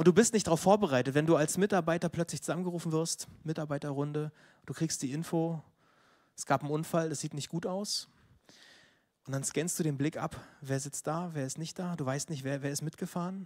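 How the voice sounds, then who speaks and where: The delivery is a normal speaking voice at a fairly quick pace with fairly even intonation. The recording is very clean, with a silent background. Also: man, fairly high pitch for a man. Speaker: preacher. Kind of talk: sermon.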